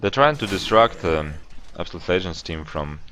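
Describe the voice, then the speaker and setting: This man's pitch is very deep and low. He speaks at a fairly quick pace with a non-native accent. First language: not English. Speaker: esports caster. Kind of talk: live commentary. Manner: halting.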